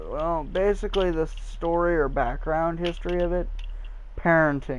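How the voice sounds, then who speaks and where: With audible room echo, a man speaks in a high pitch at a moderate pace, his intonation monotone and flat and his loudness very even. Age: young. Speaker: gaming youtuber. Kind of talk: gameplay commentary. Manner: halting; casual.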